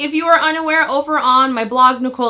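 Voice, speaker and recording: The delivery is animated, with ordinary pitch variation at a moderate pace. Noticeable background noise runs underneath. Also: woman. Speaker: nail polish YouTuber. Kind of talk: product review video intro.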